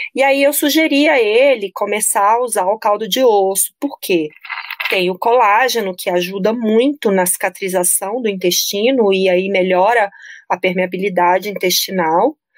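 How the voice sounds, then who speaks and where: A woman talks at a moderate pace in an ordinary speaking voice. Her pitch is medium, and its variation is ordinary. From Brasília, Brazil. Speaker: nutritionist. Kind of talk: casual interview chat.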